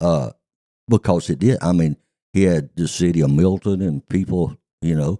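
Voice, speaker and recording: A man with an American accent speaks at a moderate pace in a very deep, low pitch and a dark, mellow tone, with ordinary pitch variation and a dry, close sound with no echo. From US South. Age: 70s. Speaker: retired racetrack manager. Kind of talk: casual interview chat.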